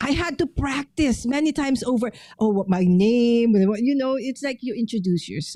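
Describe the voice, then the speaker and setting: A woman with a Filipino accent speaks at a moderate pace in a high pitch, her dark, mellow tone carried by lively intonation. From Philippines. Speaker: paper crafter and live streamer. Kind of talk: casual chat.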